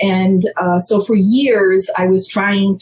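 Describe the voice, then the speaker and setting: A woman's somewhat breathy, medium-pitched voice with an American accent. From Massachusetts, US. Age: 60s. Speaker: theater producer. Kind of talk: interview.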